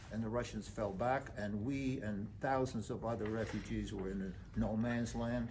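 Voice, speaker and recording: A man speaks at a moderate pace, and some room echo can be heard. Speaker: Holocaust survivor. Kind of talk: testimony. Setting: memorial site talk. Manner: halting.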